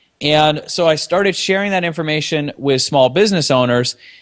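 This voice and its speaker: Recorded very cleanly against a silent background, a man uses an ordinary speaking voice with fairly high pitch and ordinary pitch variation. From Canada. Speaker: software company co-founder. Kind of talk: casual interview.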